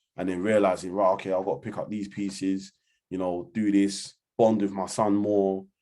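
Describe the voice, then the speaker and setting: Against a quiet background, a man with a London accent speaks in a monotone, flat way at a moderate pace and a fairly low pitch. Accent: London Multicultural English. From London, Hackney. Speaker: community organisation founder. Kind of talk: interview. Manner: casual, filler-heavy.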